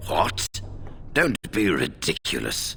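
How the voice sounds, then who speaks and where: A man puts on a raspy character voice, fairly low in pitch. The sound is dry and close, with no echo. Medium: video game. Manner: formal, dignified.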